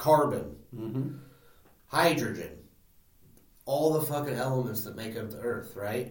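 There is audible room echo as a man speaks at medium pitch with long, frequent pauses. His loudness swings widely. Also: ordinary pitch variation, fairly slow pace. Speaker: podcast co-host. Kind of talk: casual chat. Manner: quieter than co-host.

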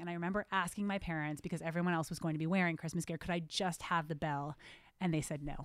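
A woman with an American accent speaks at a very fast pace in a very clean recording with a silent background. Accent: New Jersey accent hidden well. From New Jersey. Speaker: rabbi. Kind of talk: casual chat.

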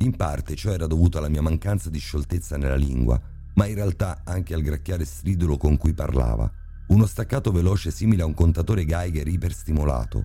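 A man with a very deep, low pitch delivers his lines in a dramatic tone at a fairly quick pace, with ordinary pitch variation and music in the background. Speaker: narrator. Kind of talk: scripted horror narration, creepypasta told in first person. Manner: vivid, descriptive, dramatic.

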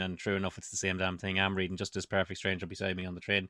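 On a very clean recording with a silent background, a man with an Irish accent speaks in an animated tone at a fairly low pitch. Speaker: podcast host. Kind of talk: casual chat. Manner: animated, jokey.

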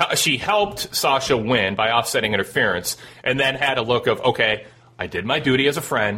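Noticeable background noise is present. A man speaks at a medium pitch. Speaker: call-in wrestling podcast host. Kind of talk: call-in show chat. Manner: animated.

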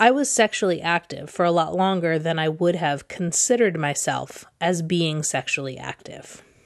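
A normal speaking voice from a woman with an American accent, fairly low pitch, ordinary pitch variation, moderate pace and a quiet background. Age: 30s. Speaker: podcast host and romance novelist. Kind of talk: solo monologue podcast.

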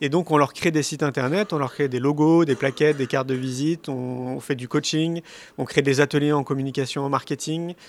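A man speaks at a fairly quick pace with fairly even intonation. His pitch sits fairly high. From Paris, France. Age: 40s. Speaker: speaker and documentary filmmaker. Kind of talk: interview. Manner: hesitant with fillers.

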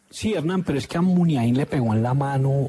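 A man speaks at a moderate pace with a fairly high pitch and lively intonation, over noticeable background noise. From Zarzal, Valle del Cauca, Colombia. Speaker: sports radio commentator. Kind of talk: casual chat.

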